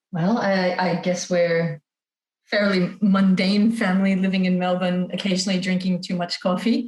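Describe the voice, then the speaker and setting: Somewhat breathy, a woman with an American accent speaks at a medium pitch and a moderate pace, with monotone, flat intonation and very even loudness. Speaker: parent sharing feeding experience. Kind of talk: podcast interview.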